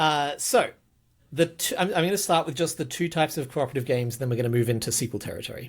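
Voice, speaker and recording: Very fast and lively in intonation, a somewhat breathy man talks on a very clean recording with a silent background. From Australia. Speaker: podcast host, game designer. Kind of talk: casual podcast chat. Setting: video podcast recording.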